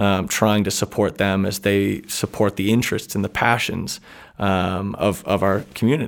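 A man with a plain, everyday voice talks at a moderate pace. His pitch is fairly low and his intonation fairly even. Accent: American. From New Hampshire, US. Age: 20s. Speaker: bookstore owner. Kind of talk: interview.

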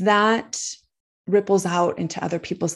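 A woman's voice with vocal fry and an American accent, over a quiet background. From United States. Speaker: poet and speaker. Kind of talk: interview conversation. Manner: speeds up and pitch rises when excited.

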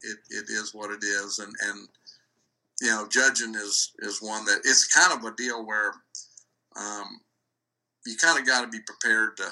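A medium-pitched man with an American accent, fairly even intonation, a fairly slow pace, long and frequent pauses, and big swings in loudness. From Iowa, US Midwest. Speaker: cattle show judge. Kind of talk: interview. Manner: halting.

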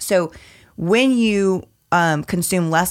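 Over a very clean recording with a silent background, a plain, everyday voice carries ordinary pitch variation. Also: woman. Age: 30s. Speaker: fitness and nutrition coach. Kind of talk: casual chat.

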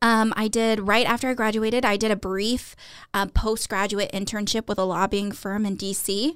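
With an American accent, a woman talks in a fairly high, monotone voice with flat intonation, captured on a very clean recording with a silent background. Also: moderate pace. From South Texas. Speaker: university Title IX officer. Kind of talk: interview.

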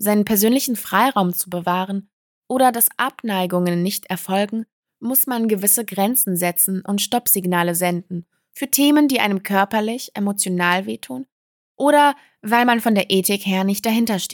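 Her recording is very clean with a silent background, and the sound is dry and close with no echo. The woman speaks at a moderate pace and medium pitch, with ordinary pitch variation. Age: 30s. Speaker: podcast host. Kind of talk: personal testimony monologue.

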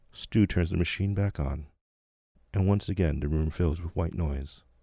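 A calm, soothing, somewhat breathy voice comes through on a very clean recording with a silent background. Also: man, long, frequent pauses. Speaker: meditation teacher and podcast host. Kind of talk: guided meditation. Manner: slow, calm, soothing, hushed, with long pauses; gently instructive, second-person storytelling.

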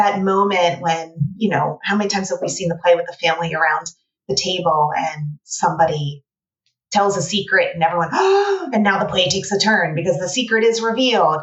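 A woman with an American accent, medium pitch, somewhat breathy, at a fairly quick pace with ordinary pitch variation. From United States. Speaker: playwright and writing teacher. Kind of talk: casual interview.

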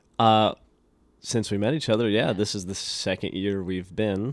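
With an American accent, a man with an unremarkable speaking voice talks at a fairly low pitch, a moderate pace and fairly even intonation on a very clean recording with a silent background. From US West, rural northeastern Nevada. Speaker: actor. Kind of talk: casual interview chat.

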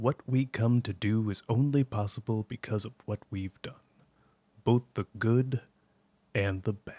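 A man speaks in a dark, mellow, somewhat breathy tone at a medium pitch with fairly even intonation. The recording is very clean with a silent background, in a dry, close sound with no echo. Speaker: podcast co-host. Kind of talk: casual chat about game lore.

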